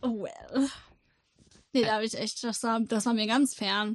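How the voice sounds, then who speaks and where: Dry and close with no echo, a woman's high-pitched voice moves at a fairly slow pace with fairly even intonation. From Rostock, northern Germany. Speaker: podcast co-host. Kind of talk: casual chat.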